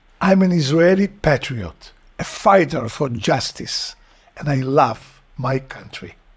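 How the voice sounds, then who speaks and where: A man's fairly high, somewhat breathy voice, with lively intonation and a very slow pace. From Israel. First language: Hebrew. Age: 70s. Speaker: activist. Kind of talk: personal introduction. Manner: formal.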